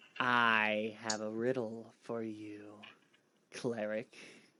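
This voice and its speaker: A man's put-on character voice, medium in pitch, monotone and flat, at a very slow pace. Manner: creepy, sly.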